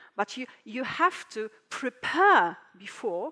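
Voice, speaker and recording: A woman's high, raised and projected voice in a Polish accent, with very wide pitch swings, a very slow pace, and a dry, close sound with no echo. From Poland. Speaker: translator and conference speaker. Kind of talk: conference talk. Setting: stage with audience. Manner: halting.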